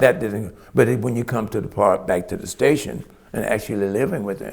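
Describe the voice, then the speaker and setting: There's a Southern US accent as this man talks at a fairly quick pace. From US South. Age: 70s. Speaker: retired firefighter. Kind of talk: oral history interview. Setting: museum pavilion. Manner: halting.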